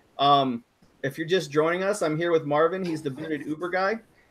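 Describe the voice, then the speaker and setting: His pitch rises and falls in an ordinary way as the man talks. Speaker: rideshare driver and YouTuber. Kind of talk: casual live stream chat. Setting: video call live stream. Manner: fast.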